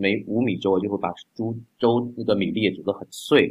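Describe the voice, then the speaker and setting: Moderate pace and ordinary pitch variation from a male speaker. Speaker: doctor and congee enthusiast. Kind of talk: casual chat.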